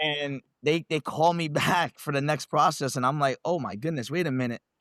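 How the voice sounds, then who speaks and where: In a New York accent, a man speaks at a moderate pace and fairly high pitch with fairly even intonation, the sound dry and close with no echo. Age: 30s. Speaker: reality TV contestant, law enforcement instructor. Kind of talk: casual interview.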